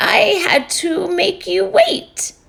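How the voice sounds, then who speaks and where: Using a put-on character voice, a woman speaks in a high, raspy pitch with very wide pitch swings. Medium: read story. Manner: bright, chatty.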